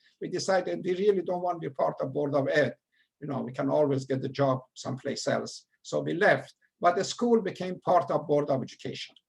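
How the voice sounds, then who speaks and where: A man talks at a fairly quick pace with a strong Persian accent and lively intonation. His pitch is fairly high, and his voice carries vocal fry. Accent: heavy Persian. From Iran. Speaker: retired educator. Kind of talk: lecture. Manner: halting.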